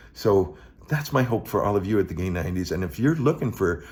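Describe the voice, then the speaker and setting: Somewhat breathy male speech, fairly low in pitch, with lively intonation. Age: 60s. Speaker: vlogger. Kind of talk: casual monologue. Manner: halting, many repetitions and fillers.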